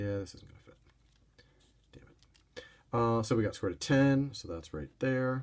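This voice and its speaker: The man's voice comes out somewhat breathy. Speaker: math teacher. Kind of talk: recorded lesson.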